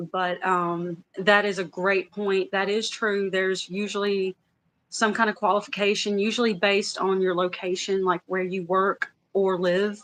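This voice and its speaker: A woman's medium-pitched, monotone, flat delivery in a Louisiana accent at a moderate pace. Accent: Louisiana Southern. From US South, Louisiana. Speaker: former credit union worker. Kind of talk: casual chat. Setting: livestream.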